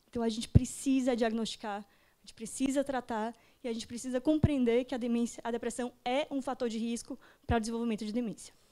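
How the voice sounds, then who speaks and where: A woman speaks at a high pitch with a dark, mellow tone, very fast and with fairly even intonation, though her loudness swings widely. The recording is very clean, with a silent background. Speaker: geriatrician giving a talk. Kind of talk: lecture.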